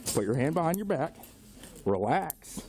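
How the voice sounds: A man talks at a moderate pace with big pitch swings. His tone is slightly mellow. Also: fairly high pitch for a man.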